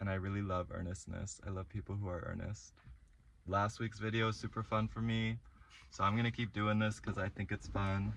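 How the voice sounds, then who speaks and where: A man's fairly low voice at a fairly quick pace, with fairly even intonation. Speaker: vlogger. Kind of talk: casual vlog monologue. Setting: in a parked car. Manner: frequent ums and likes.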